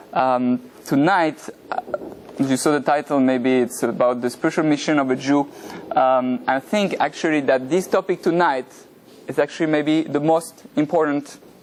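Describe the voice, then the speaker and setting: Over noticeable background noise, a man with a French accent speaks at a moderate pace in a fairly high voice, with ordinary pitch variation and very even loudness. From France. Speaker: rabbi, religious teacher. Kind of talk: lecture. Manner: hesitant, many fillers.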